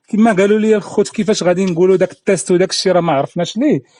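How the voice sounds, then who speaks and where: In a high voice, a man talks at a very fast pace, the sound dry and close with no echo. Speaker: career coach and trainer. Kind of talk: instructional talk to camera. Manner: casual, code-switching with French.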